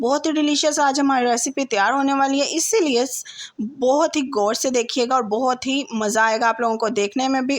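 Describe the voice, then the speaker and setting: Against noticeable background noise, a woman talks at a moderate pace with hardly any pauses, her high pitch showing ordinary variation. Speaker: cooking channel host. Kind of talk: cooking tutorial. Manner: conversational, repeats ठीक है ना.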